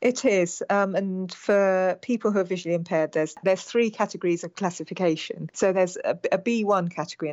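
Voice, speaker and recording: With a British accent, a woman talks at a very fast pace and a medium pitch, with ordinary pitch variation and hardly any pauses. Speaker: stroke survivor, aspiring Paralympian. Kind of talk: interview.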